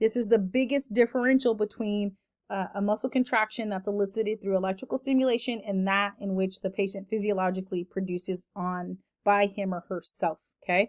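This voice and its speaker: The sound is dry and close with no echo as a woman talks at a fairly quick pace in a medium pitch, with fairly even intonation. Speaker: lecturer. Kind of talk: lecture. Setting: online recorded lecture. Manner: fast.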